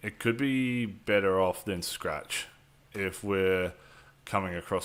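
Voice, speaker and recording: A man with an Australian accent, fairly low pitch and a very slow pace on a very clean recording with a silent background. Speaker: gaming streamer. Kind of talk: live stream gameplay commentary. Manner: casual, filler-heavy.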